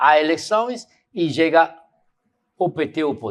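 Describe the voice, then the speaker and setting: A man is speaking. The background is quiet. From Cuba. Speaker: professor and intellectual. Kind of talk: lecture answering audience questions. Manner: halting, repeats words.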